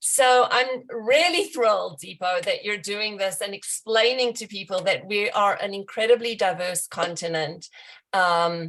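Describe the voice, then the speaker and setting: This woman has a South African accent and a medium-pitched voice. She talks at a fairly slow pace with ordinary pitch variation. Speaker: bookstore representative. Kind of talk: event introduction.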